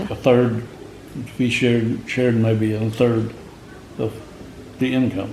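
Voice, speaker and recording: A man at a fairly slow pace with long, frequent pauses, medium pitch, monotone, flat intonation and noticeable background noise. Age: 80s+. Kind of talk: interview answer.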